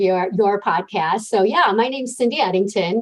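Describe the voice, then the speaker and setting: A woman with an American accent, lively intonation and a fairly quick pace, amid noticeable background noise. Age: 60s. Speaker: life coach. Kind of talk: interview.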